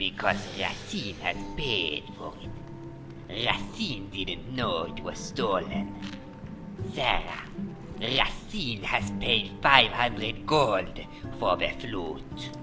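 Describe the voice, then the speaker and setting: A man's put-on character voice, fairly low and very slow, over loud background music. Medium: game stream. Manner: speaks of himself in third person, formal.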